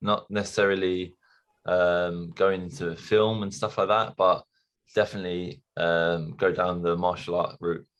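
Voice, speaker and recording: The speaker has a London accent and talks at a moderate pace with fairly even intonation over a quiet background. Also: man. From London, England. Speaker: stuntman. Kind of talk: interview.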